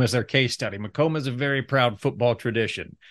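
A man at medium pitch, talking very fast over a quiet background. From Ohio, US Midwest. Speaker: chamber of commerce podcast host. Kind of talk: podcast interview.

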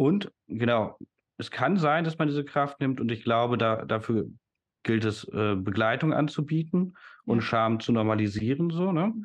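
Over a quiet background, a man with an ordinary speaking voice talks at a fairly slow pace in a medium pitch with lively intonation. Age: 30s. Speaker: educator and systemic coach. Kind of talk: casual interview conversation.

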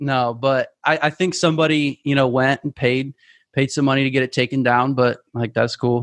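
A man with an American accent speaks at a moderate pace and a medium pitch. The sound is dry and close with no echo, the loudness stays very even, and the background is quiet. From US, small town. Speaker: marketing agency owner. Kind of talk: casual chat. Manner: animated.

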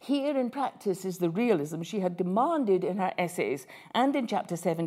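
This is an unforced reading voice carried by lively intonation.

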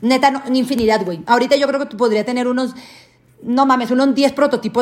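High-pitched woman's voice, animated in tone and fairly quick in pace. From Mexico, Sinaloa (Guasave). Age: 20s. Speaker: podcast host. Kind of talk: casual chat.

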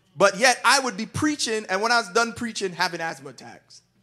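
A raised, projected male voice, high-pitched, bright and sharp, with an animated tone and lively intonation. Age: 30s. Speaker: pastor. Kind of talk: sermon.

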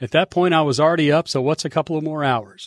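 A man with an American accent and an ordinary speaking voice talks at a fairly quick pace and a fairly high pitch, on a very clean recording with a silent background and a dry, close sound with no echo. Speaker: sports hall of fame executive director. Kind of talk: scripted narration.

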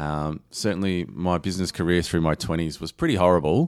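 Very deep and low in pitch, a man with an Australian accent talks at a very fast pace with ordinary pitch variation on a very clean recording with a silent background. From Australia, Geelong area (Lara, Victoria). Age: 40s. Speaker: digital marketing agency owner. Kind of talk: interview.

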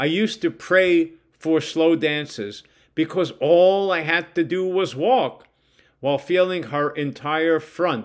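This man's voice sits fairly high in pitch, with ordinary pitch variation. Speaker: writer reading his own stories. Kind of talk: reading aloud. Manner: conversational.

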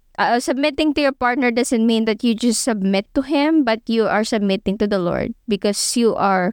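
A woman with a Filipino accent talks at a fairly high pitch, heard in a very clean, dry, close recording with a silent background and no echo. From Philippines. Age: 20s. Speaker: podcast co-host. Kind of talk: religious teaching podcast. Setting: studio.

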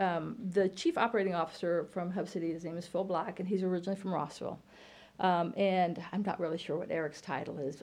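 A woman's ordinary speaking voice, fairly low-pitched, with an American accent and a fairly quick pace. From Illinois. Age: 50s. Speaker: college computer science teacher. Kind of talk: casual interview.

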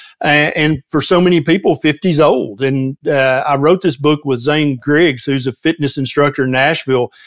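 Ordinary pitch variation and a moderate pace from a man with a fairly high pitch. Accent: Southern US. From US South, Tennessee. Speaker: physician and health author. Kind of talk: casual interview conversation.

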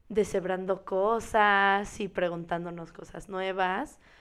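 The recording is very clean with a silent background. A woman speaks at a very slow pace in a medium pitch. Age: 20s. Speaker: podcast co-host, dancer. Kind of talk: casual chat.

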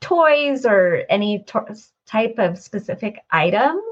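A woman's voice is somewhat breathy. Her intonation is lively. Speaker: podcast host. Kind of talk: interview conversation.

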